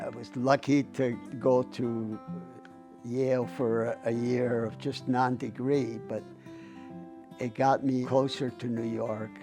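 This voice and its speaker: With music in the background, a man talks at a medium pitch with ordinary pitch variation. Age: 80s+. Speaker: abstract painter. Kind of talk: documentary interview answer.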